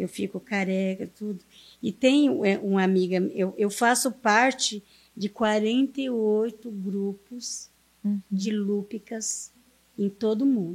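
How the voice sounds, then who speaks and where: A woman speaks at a very slow pace with a fairly high pitch. Her intonation is fairly even. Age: 50s. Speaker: community leader. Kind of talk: interview storytelling.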